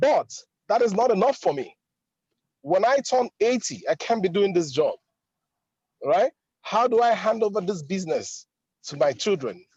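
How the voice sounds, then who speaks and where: Pausing long and often at a moderate pace, a man speaks in a high voice with very wide pitch swings, the sound dry and close with no echo. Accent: Nigerian. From Nigeria. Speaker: driving school owner, webinar participant. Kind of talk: casual testimony on webinar. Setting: in a car, video call.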